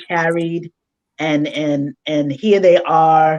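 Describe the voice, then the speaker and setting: A woman speaks. Her tone is dark and mellow. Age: 60s. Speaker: life coach and mother. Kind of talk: casual chat. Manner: animated.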